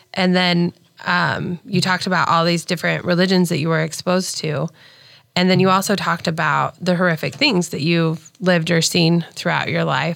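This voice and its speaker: In a normal speaking voice with an American accent, a woman speaks at a moderate pace with fairly even intonation and fairly low pitch, on a very clean recording with a silent background. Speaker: co-host, kindness group founder. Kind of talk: casual chat.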